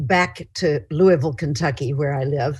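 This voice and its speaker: Somewhat breathy and very deep, a woman's voice moves at a fairly slow pace. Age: 70s. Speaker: author and publisher. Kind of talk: lecture. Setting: video call.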